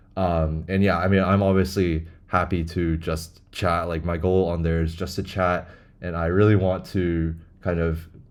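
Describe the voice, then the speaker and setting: A man with an American accent talks at a moderate pace in a very deep, low pitch. His intonation is monotone and flat, with audible room echo. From United States, moved from China as a child. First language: Chinese. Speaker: language learning vlogger. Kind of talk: casual monologue. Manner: rambling, filler-heavy.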